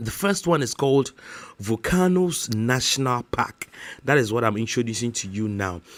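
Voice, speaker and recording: A man speaks with a Ghanaian accent at medium pitch. His intonation is lively. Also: moderate pace. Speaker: YouTuber. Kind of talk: casual vlog talk to camera. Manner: halting, many fillers.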